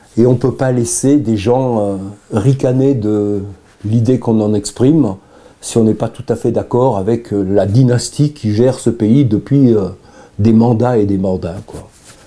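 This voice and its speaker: A man's dark, mellow, medium-pitched voice at a fairly slow pace, with fairly even intonation. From Provence, southern France; lived in Chamonix 50+ years. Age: 70s. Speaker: mountain guide and filmmaker, local election supporter. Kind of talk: interview testimony. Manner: halting, many hesitations.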